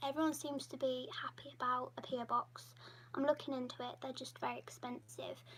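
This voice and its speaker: The speaker talks at a moderate pace with an English accent. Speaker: YouTuber hosting patron livestream. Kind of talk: casual livestream Q&A.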